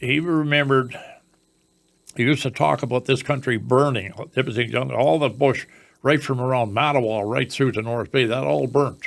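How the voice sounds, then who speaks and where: A man with a northern Ontario accent, medium pitch and a moderate pace. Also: ordinary pitch variation, very clean recording, silent background. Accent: rural northern Ontario Canadian. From northern Ontario, Canada. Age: 80s. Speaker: elderly local resident sharing memories. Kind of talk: reminiscing interview. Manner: halting, with frequent false starts.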